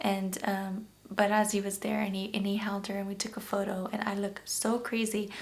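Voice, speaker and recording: A woman speaks at a medium pitch with monotone, flat intonation. Audible room echo and noticeable background noise fill the recording. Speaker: YouTube vlogger, new mother. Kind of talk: personal storytelling vlog. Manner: emotional, shaky.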